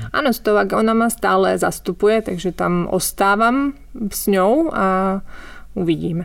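At a fairly slow pace, a woman speaks at a medium pitch with ordinary pitch variation and very even loudness on a very clean recording with a silent background. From Slovakia. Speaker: novelist. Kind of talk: interview. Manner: halting.

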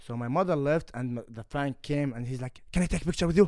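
Medium-pitched male speech with a dark, mellow tone, an Arabic accent and ordinary pitch variation, on a very clean recording with a silent background. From Kuwait. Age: 20s. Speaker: MMA fighter. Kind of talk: casual chat. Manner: halting.

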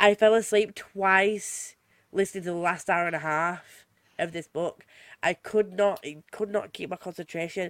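A woman speaks at a moderate pace with medium pitch and ordinary pitch variation. The recording is very clean, with a silent background. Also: dry, close sound with no echo. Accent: Yorkshire. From Yorkshire, England. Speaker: podcast host. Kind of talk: casual chat.

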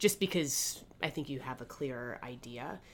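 A woman with a very deep, low voice and vocal fry speaks fairly slowly, her pitch swinging very widely. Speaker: fantasy football co-host. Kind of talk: casual podcast banter and game previews.

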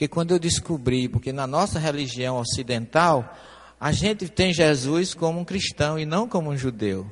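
A man's somewhat breathy, fairly high voice at a moderate pace. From Paraíba, northeastern Brazil. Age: 70s. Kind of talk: lecture. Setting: stage with audience.

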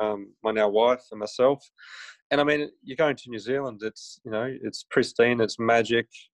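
In an Australian accent, a man speaks at a moderate pace and medium pitch with fairly even intonation and big swings in loudness, recorded with a dry, close sound with no echo and a quiet background. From Griffith, New South Wales, Australia. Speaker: chiropractor and photographer. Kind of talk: casual interview. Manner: hesitant, many fillers.

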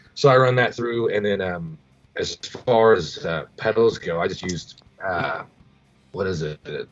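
Music plays in the background as a man speaks with lively intonation and an American accent. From US Midwest, Missouri Ozarks. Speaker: rock singer and guitarist. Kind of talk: casual interview chat.

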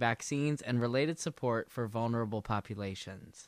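A man's normal speaking voice with an American accent, moderate pace and ordinary pitch variation, in a very clean recording with a silent background. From South Carolina (Aiken). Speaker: podcast host. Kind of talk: news reading; interview.

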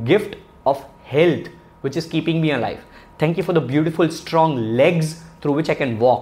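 A man's animated, fairly high voice with ordinary pitch variation. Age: 30s. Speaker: podcast host. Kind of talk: motivational talk.

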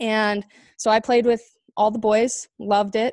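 A woman speaks fairly slowly in a Southwestern US accent, her fairly high pitch held in a flat monotone. The sound is dry and close with no echo, over a quiet background. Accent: American (Southwest). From Arizona, Chandler. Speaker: former Olympic hockey player and podcast host. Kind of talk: interview answers, casual.

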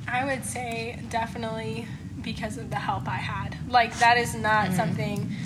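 A woman at fairly low pitch makes very wide pitch swings at a moderate pace, with audible room echo and noticeable background noise. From Tennessee (Chattanooga). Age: 20s. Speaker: mustang trainer. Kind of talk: casual chat.

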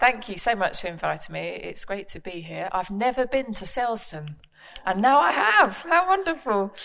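With vocal fry and lively intonation, a woman speaks at a moderate pace, her pitch fairly high and her tone fairly bright.

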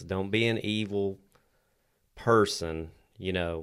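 A man with a very deep, low pitch and a Southern US accent, ordinary pitch variation, on a very clean recording with a silent background. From Tennessee. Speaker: podcast co-host. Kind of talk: casual chat.

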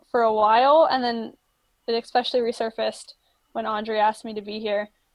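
A woman's plain, everyday voice with an American accent, fairly high in pitch, at a moderate pace. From Florida. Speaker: marine science student. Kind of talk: casual chat.

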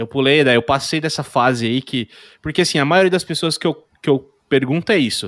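At a moderate pace, a man speaks in an unremarkable speaking voice at a fairly high pitch with ordinary pitch variation. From São Paulo state, Brazil. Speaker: podcast host. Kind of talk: casual chat.

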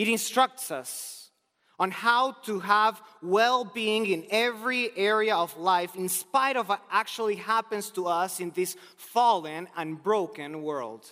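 In a Spanish accent, a man uses a raised, projected voice with a high pitch, a bright, sharp tone, ordinary pitch variation and a fairly slow pace. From Argentina. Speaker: preacher. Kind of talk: sermon. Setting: chapel.

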